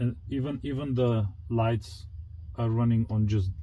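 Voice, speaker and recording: A man speaks at a medium pitch with a somewhat breathy voice. His pace is fairly slow, and his pitch varies in an ordinary way. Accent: non-native. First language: not English. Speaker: car enthusiast youtuber. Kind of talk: product review walkthrough. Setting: home garage. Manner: casual, halting with fillers.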